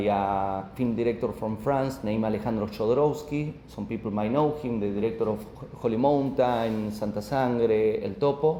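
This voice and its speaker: A man with an Argentine accent at a moderate pace, ordinary pitch variation, and noticeable background noise. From Argentina. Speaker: author. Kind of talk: book presentation talk. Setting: live audience at a coworking space. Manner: halting.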